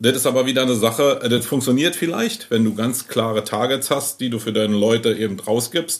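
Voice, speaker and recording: Noticeable background noise behind a man at medium pitch, talking at a fairly quick pace with ordinary pitch variation. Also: hardly any pauses. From Berlin. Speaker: agency owner. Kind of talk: casual chat. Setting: in his agency office.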